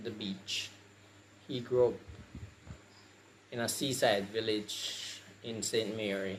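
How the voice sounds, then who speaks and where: In a room with audible echo, a man talks at a very slow pace, medium in pitch, his intonation monotone and flat. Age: 60s. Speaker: patient sharing experience. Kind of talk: testimony.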